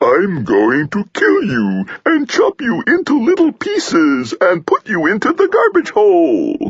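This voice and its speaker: In a put-on character voice, a man talks at a fairly slow pace with an extremely high pitch and hardly any pauses. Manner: phony, menacing, mocking.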